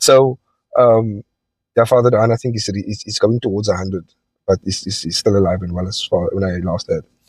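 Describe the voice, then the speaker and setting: This man's fairly low, somewhat breathy voice moves at a fairly quick pace with fairly even intonation. The recording is very clean with a silent background, and the sound is dry and close with no echo. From South Africa, Cape Town (Elsies River). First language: Afrikaans. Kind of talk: personal testimony monologue. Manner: hesitant, many fillers.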